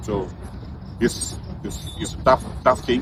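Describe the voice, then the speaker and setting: A man's voice with noticeable background noise. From Malaysia. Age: 60s. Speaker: football coach. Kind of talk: interview. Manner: halting.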